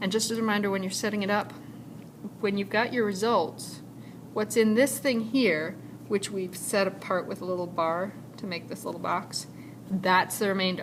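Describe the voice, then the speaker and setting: With audible room echo and noticeable background noise, a woman speaks at a medium pitch and moderate pace, her intonation fairly even, pausing long and often. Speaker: high school math teacher. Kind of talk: recorded lecture. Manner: casual, with fillers.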